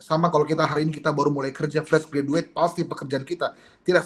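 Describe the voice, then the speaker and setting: Pitched fairly high, a man is heard. He talks very fast. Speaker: pastor. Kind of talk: sermon. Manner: expressive.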